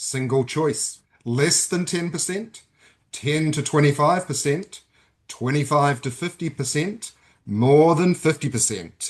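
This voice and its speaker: Against a quiet background, a man talks at a fairly slow pace in a fairly high, somewhat breathy voice with ordinary pitch variation. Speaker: webinar moderator. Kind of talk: webinar poll reading. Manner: mock game-show delivery.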